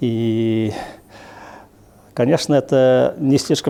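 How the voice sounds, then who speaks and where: A man speaks with fairly even intonation. His tone is dark and mellow. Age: 60s. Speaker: historian. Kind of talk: interview.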